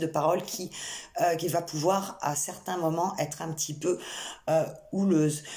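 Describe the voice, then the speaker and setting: A woman with a very deep, low pitch and fairly even intonation is heard through audible room echo and noticeable background noise. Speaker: psychic medium. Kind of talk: channelled tarot reading. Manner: hesitant, many fillers.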